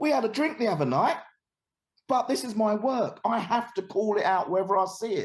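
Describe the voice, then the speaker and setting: With a London accent, a man talks at a high pitch and a fairly quick pace in an animated tone with lively intonation. Long, frequent pauses break up his speech. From East London, England. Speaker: anti-discrimination educator. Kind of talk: podcast interview.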